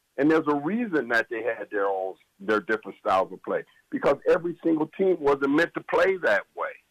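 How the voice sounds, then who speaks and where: A man at a fairly quick pace, dry, close sound with no echo. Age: 60s. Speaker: former college basketball assistant coach. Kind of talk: sports talk radio interview.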